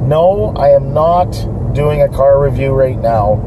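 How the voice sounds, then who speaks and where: A man's voice over noticeable background noise. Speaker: vlogger. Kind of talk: casual vlog chat. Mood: relaxed, upbeat. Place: car. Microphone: phone near.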